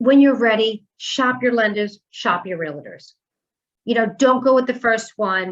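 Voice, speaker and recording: A woman's fairly high voice with a New York accent and ordinary pitch variation. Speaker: mortgage lender. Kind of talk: presentation. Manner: fast.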